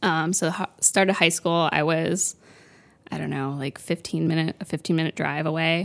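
A woman speaks with an American accent and vocal fry, in a fairly low pitch with monotone, flat intonation. The sound is dry and close with no echo. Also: moderate pace, very clean recording, silent background. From US South, Florida. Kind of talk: casual chat.

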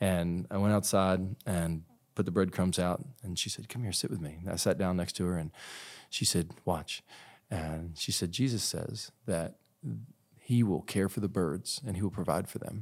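On a very clean recording with a silent background, a man with a very deep, low pitch speaks at a moderate pace with ordinary pitch variation. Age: 40s. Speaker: pastor and author. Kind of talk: interview conversation.

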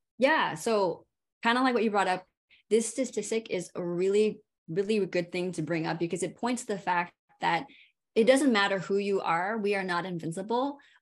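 In a normal speaking voice with an American accent, a woman talks at a moderate pace and medium pitch, with ordinary pitch variation over a quiet background. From California. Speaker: physical therapist and pain specialist. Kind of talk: interview.

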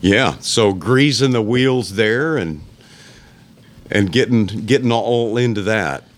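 A man speaks with a Texan accent. His pace is very slow. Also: medium pitch for a man, ordinary pitch variation. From South Texas, Alice. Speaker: musician. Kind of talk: casual chat. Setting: boot shop.

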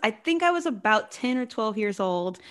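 This woman has an American accent. Her pitch swings very widely. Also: quiet background. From US South, Georgia (Warner Robins). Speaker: singer-songwriter. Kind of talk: interview.

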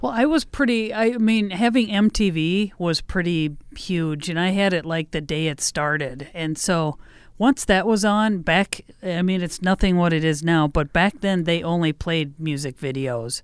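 With an American accent and a plain, everyday voice, a woman speaks at a moderate pace and fairly low pitch with lively intonation on a very clean recording with a silent background. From Midwest US (Iowa, Indiana; Mankato, Minnesota from age ten). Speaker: radio host. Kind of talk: casual chat. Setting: radio station studio.

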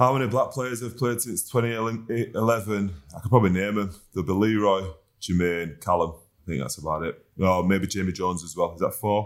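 With a West Yorkshire accent, a man talks at a fairly quick pace, his pitch fairly low with ordinary variation. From Huddersfield, West Yorkshire, northern England. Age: 30s. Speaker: professional rugby league player. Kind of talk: casual chat.

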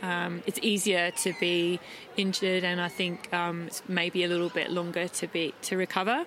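Over noticeable background noise, someone with an Australian accent speaks at a moderate pace in a monotone, flat intonation and at very even loudness. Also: woman, fairly low pitch for a woman. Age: 40s. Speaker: ultra trail runner. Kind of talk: casual interview.

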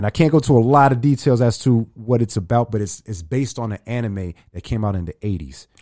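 A man with an American accent at a very fast pace, his tone dark and mellow, the sound dry and close with no echo. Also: medium pitch for a man, ordinary pitch variation. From New York, the Bronx. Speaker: rapper and radio host. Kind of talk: casual interview chat.

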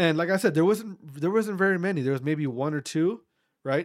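This man has an unremarkable speaking voice with an American accent and ordinary pitch variation. He talks at a fairly quick pace on a very clean recording with a silent background. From US Midwest, small-town Wisconsin. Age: 30s. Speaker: podcast host. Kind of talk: casual monologue.

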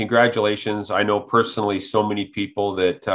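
A man's plain, everyday voice, fairly low in pitch, at a fairly quick pace. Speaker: podcast host. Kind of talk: interview.

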